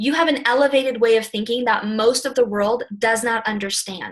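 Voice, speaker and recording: A woman's plain, everyday voice at a fairly high pitch and a fairly quick pace. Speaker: network marketing team leader. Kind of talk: motivational team call. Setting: call.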